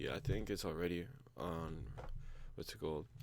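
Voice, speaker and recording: A man speaks quietly with vocal fry and a dark, mellow tone. His pitch varies in an ordinary way, and the room echo is audible. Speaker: coding video creator. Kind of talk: tutorial.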